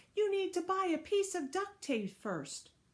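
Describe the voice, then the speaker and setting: A woman speaks at a moderate pace in a put-on character voice. It is squeaky and extremely high-pitched. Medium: read story. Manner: over-eager, carried away.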